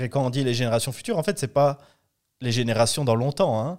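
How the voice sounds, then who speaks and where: A man with an ordinary speaking voice at medium pitch, ordinary pitch variation, and a very clean recording with a silent background. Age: 30s. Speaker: political party director. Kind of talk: interview.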